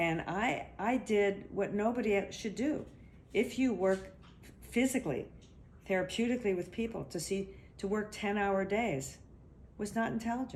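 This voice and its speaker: The speaker uses ordinary pitch variation and vocal fry at a moderate pace, broken by long, frequent pauses. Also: woman, medium pitch for a woman. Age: 60s. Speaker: body therapist. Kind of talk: interview. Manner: halting.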